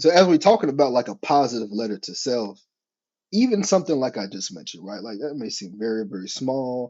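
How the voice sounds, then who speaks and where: Excited and very fast, a man at medium pitch speaks with very wide pitch swings and big swings in loudness. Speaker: podcast host. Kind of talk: casual monologue. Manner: excited, sometimes trips over words.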